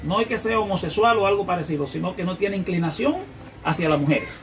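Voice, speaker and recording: With audible room echo and noticeable background noise, a man speaks using lively intonation. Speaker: preacher. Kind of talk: sermon. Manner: fast.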